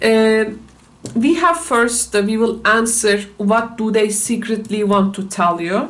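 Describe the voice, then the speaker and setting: A woman with a non-native accent speaks fairly slowly at a fairly high pitch, with ordinary pitch variation. Room echo and noticeable background noise are audible. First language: not English. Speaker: tarot reader. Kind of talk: tarot reading. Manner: halting, many fillers.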